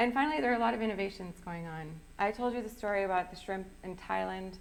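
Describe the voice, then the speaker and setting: With an American accent, a woman speaks very fast at a medium pitch with ordinary pitch variation, over noticeable background noise and audible room echo. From US Midwest, southwest Wisconsin. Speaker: sustainable seafood program manager. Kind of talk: public lecture.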